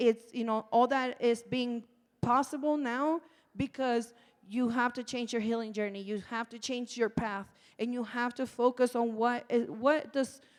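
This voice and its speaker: Loud and high-pitched, a woman speaks at a fairly slow pace with fairly even intonation. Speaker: nonprofit community organizer, formerly incarcerated. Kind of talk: panel discussion.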